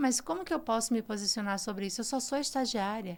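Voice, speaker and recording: A woman is speaking. Her pitch swings very widely. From Brazil, Ceará. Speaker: communication executive. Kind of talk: podcast interview.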